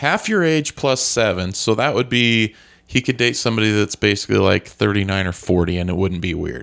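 With a plain, everyday voice, a man talks at a fairly quick pace in a fairly low pitch with lively intonation. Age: 40s. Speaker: podcast co-host. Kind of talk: casual chat.

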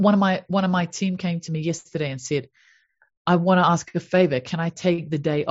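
A woman with a New Zealand accent speaks at a moderate pace. Her voice is fairly low, somewhat breathy, with ordinary pitch variation. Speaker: happiness coach. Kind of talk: interview. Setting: video call.

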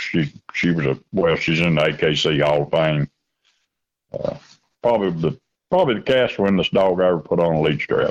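The speaker has a Kentucky accent. The pace is moderate. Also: man. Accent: Southern US (Kentucky). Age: 60s. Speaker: coon hunter and grandfather. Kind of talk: casual interview.

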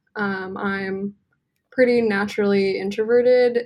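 Speaking with an American accent, a woman keeps a medium pitch and a fairly even intonation. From US West Coast, Santa Cruz, California. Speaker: tattoo artist. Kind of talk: casual chat.

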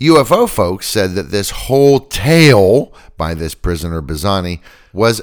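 A man's fairly low voice at a fairly slow pace, with very wide pitch swings. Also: very clean recording, silent background. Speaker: podcast host. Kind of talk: true-crime narration, scripted storytelling. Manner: skeptical, wry.

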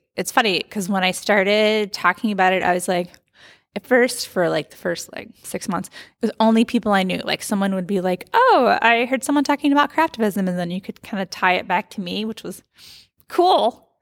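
A woman with an American accent and an ordinary speaking voice talks fairly quickly at a medium pitch with ordinary pitch variation, recorded very cleanly with a dry, close sound, no echo and a silent background. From United States. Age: 40s. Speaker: craft activist and writer. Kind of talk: interview.

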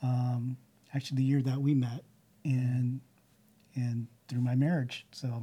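A man speaks in an American accent at a fairly slow pace, with long, frequent pauses. His dark, mellow voice is somewhat breathy, with monotone, flat intonation. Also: medium pitch for a man. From California, Bay Area (Santa Clara, Sunnyvale). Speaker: churchgoer sharing his story. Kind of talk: interview testimony. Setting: church building recording. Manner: halting, many fillers.

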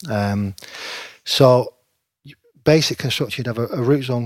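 Speaking with a Lancashire accent, a man talks at a fairly slow pace. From northern England, Preston (Lancashire). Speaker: stadium groundkeeper. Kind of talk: casual interview.

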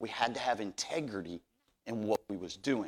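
On a very clean recording with a silent background, a man with vocal fry speaks at a moderate pace, his pitch swinging very widely. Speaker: pastor. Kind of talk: sermon. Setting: church. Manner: halting, frequent repetitions.

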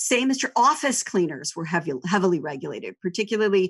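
A woman talks at a fairly quick pace in a plain, everyday voice of medium pitch, with lively intonation. The background is quiet. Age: 40s. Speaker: writer and editor at an educational foundation. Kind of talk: interview conversation.

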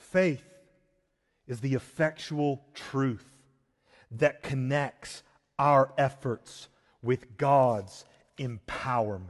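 Long, frequent pauses break up the very slow speech of a man with an American accent and ordinary pitch variation. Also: medium pitch for a man. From US South, rural South Georgia. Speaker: pastor. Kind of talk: sermon. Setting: church.

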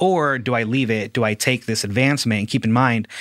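A man's medium-pitched voice with a Midwestern accent, very fast pace and ordinary pitch variation, dry and close with no echo, on a very clean recording with a silent background. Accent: general American, Midwestern. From Ciudad Juarez, Mexico, raised Fort Wayne, Indiana. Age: 30s. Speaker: graphic designer and podcaster. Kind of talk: casual interview.

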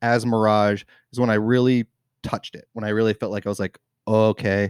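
Recorded very cleanly with a silent background and a dry, close sound with no echo, a man with an American accent speaks at a medium pitch and a moderate pace. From Washington state, Tacoma area. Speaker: brewer. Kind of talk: casual chat. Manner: halting, many fillers.

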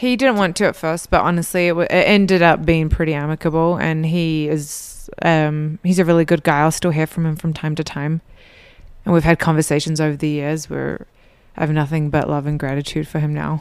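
A woman with an American accent and a very deep, low pitch speaks at a fairly quick pace. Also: fairly even intonation. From New Zealand. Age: 30s. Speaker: church member talking about dating. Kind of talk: casual interview.

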